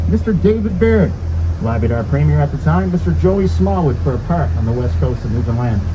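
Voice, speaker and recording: Over noticeable background noise, a man talks at a fairly quick pace in a very deep, low voice. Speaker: boat tour guide. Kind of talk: tour guide narration. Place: boat.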